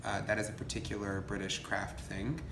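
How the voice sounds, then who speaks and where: Noticeable background noise runs under the recording. The voice moves at a fairly quick pace. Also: man. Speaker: coven priest interviewee. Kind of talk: interview answer. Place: home room. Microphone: phone near.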